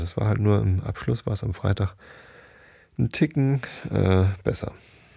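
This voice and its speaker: A man speaks in a very deep, low voice with a dark, mellow tone, relaxed and somewhat breathy. The recording is very clean, with a silent background. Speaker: podcast host who reads bedtime stories. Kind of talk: casual chat then reading aloud. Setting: home recording, solo. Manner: relaxed, rambling, uses many fillers.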